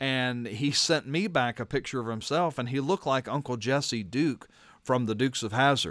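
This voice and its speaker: Speaking at a moderate pace, a man with a plain, everyday voice keeps a medium pitch and lively intonation. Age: 40s. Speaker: pastor and radio host. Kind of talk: radio talk show with devotional commentary. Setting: radio studio.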